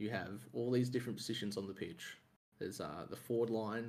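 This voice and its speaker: Speaking fairly quickly with an Australian accent, a man uses a fairly low pitch and ordinary pitch variation. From Australia, Melbourne. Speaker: sports fan guest. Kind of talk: casual chat.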